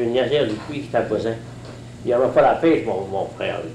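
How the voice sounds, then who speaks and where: With a rural Gaspésie accent and ordinary pitch variation, a man speaks through audible room echo and noticeable background noise. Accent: rural Gaspésie Quebec French. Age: 70s. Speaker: retired fisherman. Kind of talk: oral history interview. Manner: halting, many hesitations.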